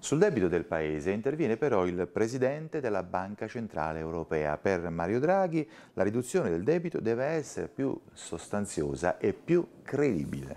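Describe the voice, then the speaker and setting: Fairly low male voice, dark and mellow, with very wide pitch swings at a moderate pace. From Italy. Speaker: news presenter. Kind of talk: news reading. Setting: studio. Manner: formal, brisk and even-paced, neutral broadcast delivery; clear, measured, with little emotional colouring. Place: studio. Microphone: lapel.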